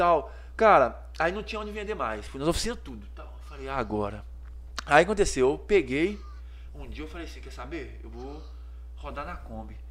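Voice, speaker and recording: There is audible room echo as a man speaks with long, frequent pauses. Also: moderate pace, big swings in loudness. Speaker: menswear store owner, entrepreneur. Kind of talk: casual interview chat.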